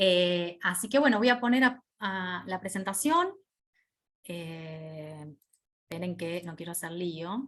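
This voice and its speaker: At a very slow pace, a woman speaks in a fairly low pitch. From Argentina. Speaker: hospital radiopharmacist, lecturer. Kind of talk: online lecture. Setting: video call. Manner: informal, conversational.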